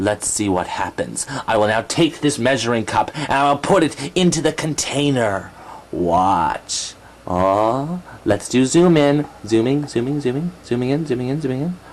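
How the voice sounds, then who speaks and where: A man does a cartoonish character voice at a medium pitch and a moderate pace. Background noise is clear. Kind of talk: educational puppet segment. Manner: excitable, giggly.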